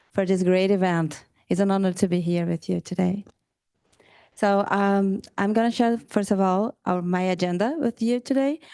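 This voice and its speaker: With a Carioca Brazilian accent, the voice has a dark, mellow tone, ordinary pitch variation, very even loudness and a moderate pace over a quiet background. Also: woman. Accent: Carioca (Rio de Janeiro) Brazilian. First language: Portuguese. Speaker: lawyer and researcher. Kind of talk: conference presentation.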